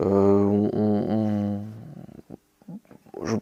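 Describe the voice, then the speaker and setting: The man's voice has a dark, mellow tone. Behind him, the background is quiet. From western France, Anjou. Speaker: soldier, sergeant. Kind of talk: interview. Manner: halting, many repetitions and fillers.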